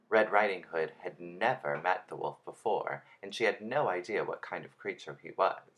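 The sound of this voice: An unforced reading voice moves through lively intonation.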